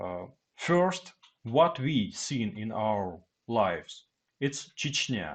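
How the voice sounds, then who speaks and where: A man speaks very slowly with a Russian accent, his pitch sitting in a medium range for a man. His pitch swings very widely, and long pauses come often. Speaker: Russian military man, commentator. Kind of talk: reading aloud prepared text. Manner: halting.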